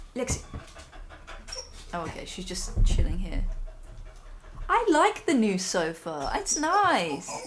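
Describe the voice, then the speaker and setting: A woman with an English accent speaks in a high pitch with very wide pitch swings, amid noticeable background noise and audible room echo. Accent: straight English. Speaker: streamer and actress. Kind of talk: casual chat. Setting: live stream at home.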